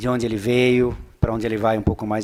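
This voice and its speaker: Pitched in the medium range, a man's voice moves at a fairly quick pace. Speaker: economist. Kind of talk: lecture. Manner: fast; animated.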